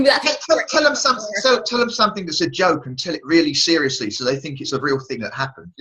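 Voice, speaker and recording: A man with an English accent at a very fast pace, amid noticeable background noise. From England. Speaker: radio show host. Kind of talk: interview answer. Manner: casual, humorous.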